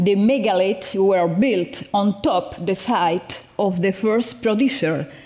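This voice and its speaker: A woman's medium-pitched voice with a Spanish accent, at a very slow pace with lively intonation, over noticeable background noise. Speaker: professor. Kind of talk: conference presentation. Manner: halting.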